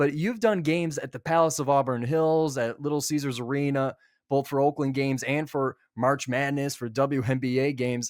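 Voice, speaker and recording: A man with a plain, everyday voice talks at a moderate pace, his fairly high pitch held in fairly even intonation. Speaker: student sports interviewer. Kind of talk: interview question.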